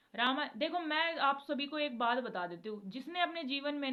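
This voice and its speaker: A woman talks at a moderate pace. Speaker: devotional video creator. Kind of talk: casual devotional talk to viewers.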